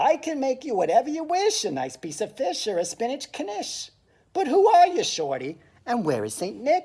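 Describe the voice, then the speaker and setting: A woman's put-on character voice, high-pitched, with very wide pitch swings and a moderate pace. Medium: read story. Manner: grumbling, blunt.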